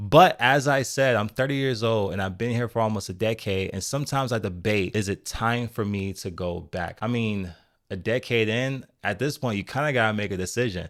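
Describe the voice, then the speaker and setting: In a very clean recording with a silent background, a man with an unremarkable speaking voice and medium pitch talks at a fairly quick pace with hardly any pauses. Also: ordinary pitch variation. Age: 30s. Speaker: software engineer and vlogger. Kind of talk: vlog monologue. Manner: conversational.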